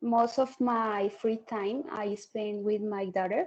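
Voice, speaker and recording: A woman's fairly high, dark and mellow voice in a Spanish accent, very slow, with ordinary pitch variation. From Colombia. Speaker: English exam candidate. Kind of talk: mock speaking exam. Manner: halting, many fillers.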